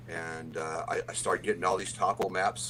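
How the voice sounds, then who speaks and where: A man speaks fairly quickly with an American accent, and there is noticeable noise behind him. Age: 60s. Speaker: history teacher. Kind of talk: casual interview chat. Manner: halting with repetitions.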